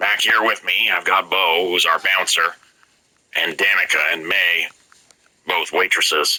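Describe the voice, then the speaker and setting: A man's put-on character voice, very deep and low in pitch, at a moderate pace with long, frequent pauses. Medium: read story. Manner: polite, articulate, matter-of-fact.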